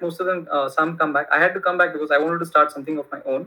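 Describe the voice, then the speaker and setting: A man with a Kannada accent speaks at a very fast pace in a high pitch. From India. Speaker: tech entrepreneur. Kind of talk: casual interview. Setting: remote call. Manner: halting, many fillers.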